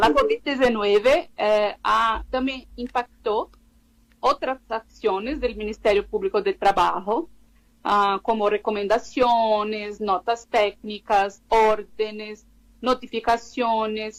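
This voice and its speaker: A woman with a Brazilian accent talks at a very slow pace. Her pitch is fairly high and her intonation fairly even. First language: Portuguese (speaking Spanish). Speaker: labor law researcher. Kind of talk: radio interview. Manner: halting, with many fillers.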